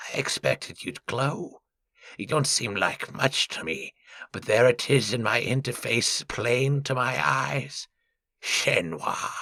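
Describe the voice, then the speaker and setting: Using a put-on character voice, a man speaks at a fairly slow pace and medium pitch. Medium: read story. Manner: smooth, formal, condescending.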